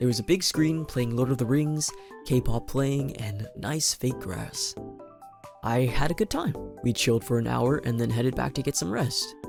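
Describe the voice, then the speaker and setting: With music playing in the background, a man speaks at a moderate pace in a medium pitch and with lively intonation. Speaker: cosplayer and VTuber. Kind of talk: vlog narration.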